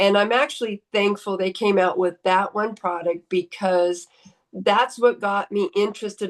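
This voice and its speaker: A woman with a normal speaking voice, medium pitch, ordinary pitch variation and a moderate pace, over a quiet background. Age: 60s. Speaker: chiropractor. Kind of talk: testimony.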